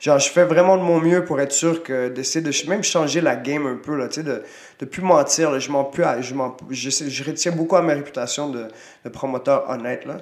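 There is noticeable background noise and audible room echo as a man talks at a moderate pace, his pitch fairly high with ordinary variation. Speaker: retired Muay Thai fighter, coach and promoter. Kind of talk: casual interview.

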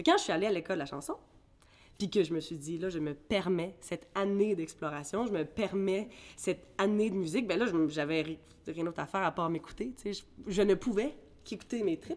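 Here is a woman with a plain, everyday voice at a medium pitch. She talks at a fairly quick pace with ordinary pitch variation. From Ireland, then Quebec from age 13. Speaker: singer. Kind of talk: casual interview.

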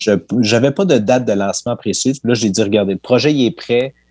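In a dry, close recording with no echo, an unremarkable speaking voice moves at a fairly quick pace with ordinary pitch variation. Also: man. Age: 30s. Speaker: sports history podcaster. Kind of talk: interview.

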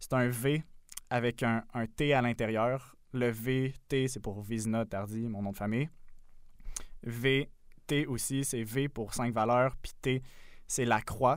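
Very slow man's speech at medium pitch, fairly even intonation, long and frequent pauses, very clean recording with a silent background. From Quebec, south shore of Montreal. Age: 20s. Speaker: podcast co-host. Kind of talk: casual chat.

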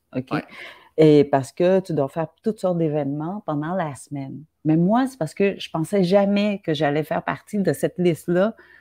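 Against a quiet background, a woman with a fairly low pitch speaks at a moderate pace with ordinary pitch variation, the sound dry and close with no echo. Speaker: writer. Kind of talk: casual chat.

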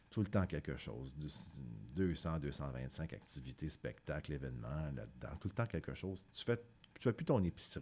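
At a very deep, low pitch, a man with a dark, mellow tone and vocal fry talks at a fairly slow pace with lively intonation and hardly any pauses. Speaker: musician. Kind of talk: interview.

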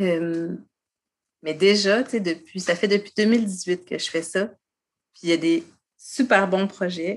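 Fairly slow speech from a woman, medium in pitch, with ordinary pitch variation. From Quebec, Côte-de-Beaupré. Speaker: poet and author. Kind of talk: casual interview. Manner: halting, many fillers.

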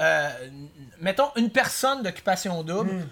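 With a Quebec accent, a man speaks fairly slowly in a high pitch, his tone bright and sharp and his intonation lively. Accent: Québécois French. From Quebec City. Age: 20s. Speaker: karaoke performer. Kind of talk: casual chat.

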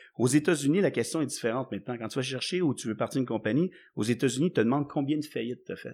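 A man with a Quebec accent at medium pitch with ordinary variation and a very fast pace, in a very clean recording with a silent background. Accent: Québécois French. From Quebec (Laval / Montreal). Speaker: entrepreneur. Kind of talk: casual interview.

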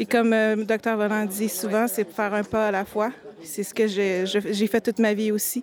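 A woman's fairly high voice holds a monotone, flat intonation. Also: fairly slow pace. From Quebec, Montreal. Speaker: youth ambassador. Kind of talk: interview testimony.

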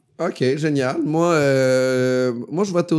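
An ordinary speaking voice from a man, fairly high in pitch, with ordinary pitch variation. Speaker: comedian. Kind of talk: casual chat.

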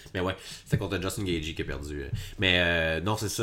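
A man speaks with vocal fry. His pitch is very deep and low. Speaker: MMA podcast co-host. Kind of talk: casual chat. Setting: shared microphone in same room.

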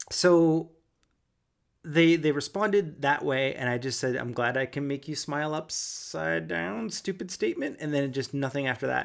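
Speaking in a normal speaking voice with a Canadian accent, a man talks at a moderate pace in a fairly high pitch with lively intonation, on a very clean recording with a silent background. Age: 40s. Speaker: podcast date guest. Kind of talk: casual chat.

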